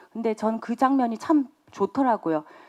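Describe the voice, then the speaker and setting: A woman's ordinary speaking voice at a fairly slow pace, with ordinary pitch variation and a dry, close sound with no echo. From Gyeongsang region, South Korea. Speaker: film director. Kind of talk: press conference Q&A.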